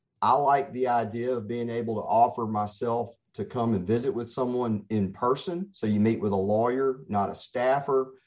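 Pitched in the medium range, a man speaks at a fairly slow pace with ordinary pitch variation. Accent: Mississippi. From Mississippi, Gulf Coast (Pascagoula). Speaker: attorney. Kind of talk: radio interview.

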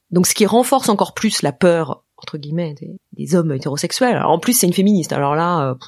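Speaking in a normal speaking voice, a woman with fairly low pitch talks at a fairly quick pace with hardly any pauses, lively intonation and big swings in loudness. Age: 40s. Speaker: podcast creator and host. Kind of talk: interview testimony.

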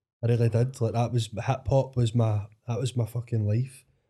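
In a very clean recording with a silent background, a man with a Glaswegian accent speaks in a dark, mellow, somewhat breathy tone at medium pitch, his intonation monotone and flat. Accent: Glaswegian Scottish. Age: 30s. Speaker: DJ. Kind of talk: casual chat. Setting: studio.

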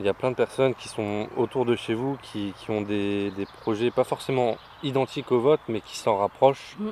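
A man with an ordinary speaking voice talks at a moderate pace and medium pitch, his intonation fairly even but his loudness swinging widely, in a dry, close sound with no echo. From northern France, Béthune area. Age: 20s. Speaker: eco-project co-founder. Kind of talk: interview.

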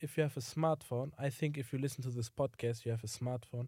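In a very clean recording with a silent background, the speaker talks with a German accent. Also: man, dry, close sound with no echo. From Germany. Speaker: podcast co-host. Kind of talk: casual chat.

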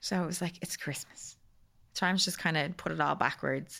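In a very clean recording with a silent background, a woman with a plain, everyday voice talks at a fairly low pitch, with fairly even intonation and a fairly quick pace. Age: 30s. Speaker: cancer survivor sharing her story. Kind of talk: casual chat.

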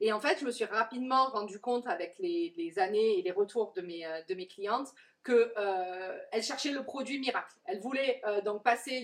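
A woman with a fairly high pitch and lively intonation talks at a moderate pace over noticeable background noise. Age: 40s. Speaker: curly hair coach. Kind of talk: interview. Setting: coworking space, on a sofa.

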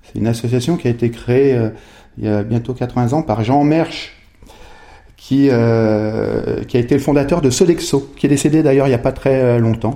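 A dark, mellow male voice, fairly slow, with ordinary pitch variation. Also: medium pitch for a man. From Haute-Savoie, French Alps (Megève). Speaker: entrepreneur, former biathlete. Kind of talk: podcast interview. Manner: halting, many repetitions and hesitations.

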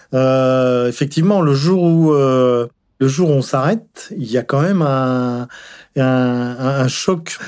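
A man at medium pitch with ordinary pitch variation, speaking at a very slow pace on a very clean recording with a silent background. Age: 60s. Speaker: retiree, amateur cyclist. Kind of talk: testimony. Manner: halting.

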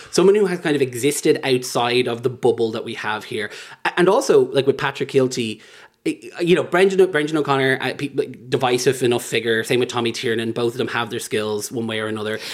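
A medium-pitched man with an Irish accent talks at a very fast pace with ordinary pitch variation. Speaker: LGBT activist. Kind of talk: casual chat. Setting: host's home.

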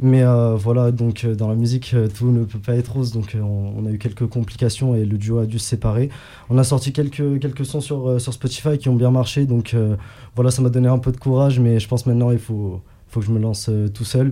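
Speaking at a fairly quick pace, a man has a medium-pitched, dark, mellow tone that is somewhat breathy. His intonation stays fairly even. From Egypt. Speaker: rapper. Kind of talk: radio interview. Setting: radio studio. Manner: halting.

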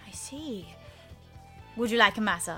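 With music in the background, a woman puts on a guttural character voice. She speaks at a medium pitch and a moderate pace. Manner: suggestive, offering a massage.

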